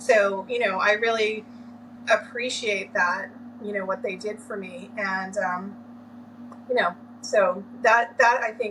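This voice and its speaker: An American-accented woman speaks at a fairly slow pace with a fairly high voice. Background noise is noticeable. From Massachusetts (Lynn). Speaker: orientation and mobility specialist. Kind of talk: interview.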